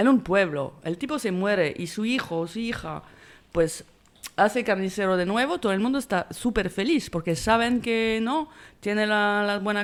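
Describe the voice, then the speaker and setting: This woman has a French accent and a medium pitch. She talks at a fairly slow pace with lively intonation, in a very clean recording with a silent background. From France. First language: French (speaking Spanish). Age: 50s. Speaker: film director. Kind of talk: interview. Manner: halting.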